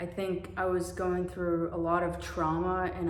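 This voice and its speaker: A woman with an American accent speaks at a fairly slow pace. Room echo is audible. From Russia, adopted to the US as a child. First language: Russian. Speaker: adoptee vlogger and author. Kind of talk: personal vlog talk to camera. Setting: home garage.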